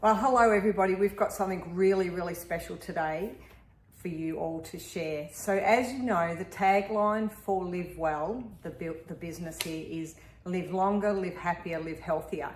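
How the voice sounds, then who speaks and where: A woman with an Australian accent speaks at medium pitch and a moderate pace, with ordinary pitch variation. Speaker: health business owner. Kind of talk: interview host.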